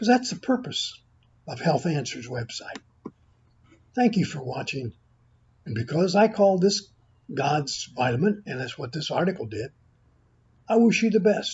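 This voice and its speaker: At a moderate pace, a man with a high pitch makes very wide pitch swings and big swings in loudness, pausing long and often. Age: 80s+. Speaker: health video creator. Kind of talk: informal product talk to camera. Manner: halting.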